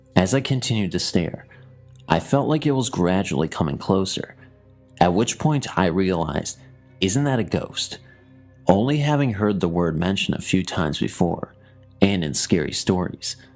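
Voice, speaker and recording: At a moderate pace, a man with a very deep, low pitch makes very wide pitch swings while music plays in the background. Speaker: horror story narrator. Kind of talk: horror story narration.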